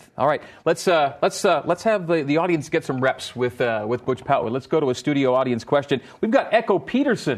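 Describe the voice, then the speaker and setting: Against a quiet background, a man with an unremarkable speaking voice talks at a moderate pace, his pitch fairly high and his intonation lively. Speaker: sports radio host. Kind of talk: sports talk show hosting. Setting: studio with live audience.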